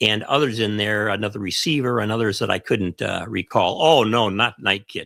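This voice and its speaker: In a Chicago accent with a bright, sharp tone, the voice moves at a moderate pace with hardly any pauses and ordinary pitch variation. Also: man, fairly low pitch for a man. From US Midwest, Chicago. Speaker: ham radio show co-host. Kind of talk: casual chat.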